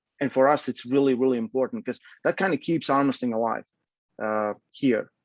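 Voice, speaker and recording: The speaker has a Latvian accent and a fairly quick pace with fairly even intonation. The sound is dry and close with no echo. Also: man. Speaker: arm wrestling coach and federation president. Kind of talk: casual interview. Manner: halting.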